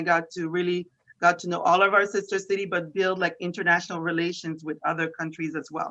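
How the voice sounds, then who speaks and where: Bright and sharp in tone, the speaker has a French Canadian accent and talks at a fairly quick pace with monotone, flat intonation. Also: woman. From Quebec, Canada (Montreal). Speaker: economic development official. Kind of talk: interview.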